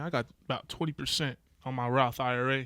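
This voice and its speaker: An American accent marks this man's medium-pitched voice. The recording is very clean, with a silent background. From San Diego, California. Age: 20s. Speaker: navy sailor. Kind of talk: casual chat.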